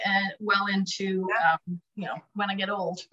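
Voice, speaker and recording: Speaking at a fairly slow pace, a woman with a Canadian accent has a bright, sharp tone. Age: 50s. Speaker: direct sales director. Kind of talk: interview.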